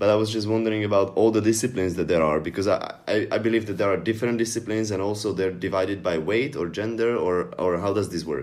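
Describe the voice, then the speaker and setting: At a very fast pace with hardly any pauses, a man with a Slovak accent speaks fairly low, with ordinary pitch variation. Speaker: podcast co-host. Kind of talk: casual chat.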